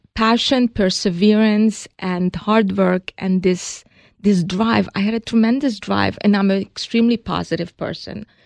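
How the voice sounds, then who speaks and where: A woman with a Hungarian accent speaks at a moderate pace in a medium pitch. The sound is dry and close with no echo, over a quiet background. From Hungary. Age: 60s. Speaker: cosmetics company co-founder. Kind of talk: interview.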